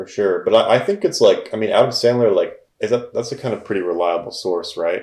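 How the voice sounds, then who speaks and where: A man is mumbling. He talks at a fairly quick pace. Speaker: film podcast co-host. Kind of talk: casual chat.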